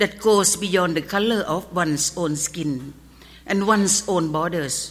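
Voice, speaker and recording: Lively intonation marks this woman's speech, delivered at a fairly slow pace. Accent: Thai. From Thailand. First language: Thai. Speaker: pharmacist. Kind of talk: award acceptance speech. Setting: stage with audience. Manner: formal. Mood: earnest, solemn. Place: stage. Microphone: podium.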